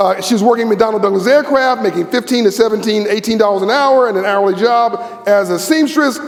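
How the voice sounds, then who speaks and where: This man talks fast with hardly any pauses, his high voice animated but with ordinary pitch variation. The room has an audible echo, and there is noticeable background noise. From Los Angeles, US. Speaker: keynote speaker. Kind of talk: keynote speech. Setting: stage with audience.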